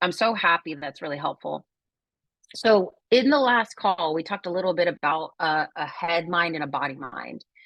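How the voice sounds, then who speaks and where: A woman speaks at a moderate pace in a normal speaking voice, recorded with a dry, close sound with no echo against a quiet background. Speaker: wellbeing coach. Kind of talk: workshop talk on a group video call.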